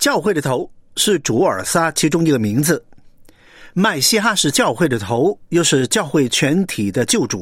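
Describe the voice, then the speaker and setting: A fairly high male voice with vocal fry, very wide pitch swings and a fairly slow pace. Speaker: preacher. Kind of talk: sermon.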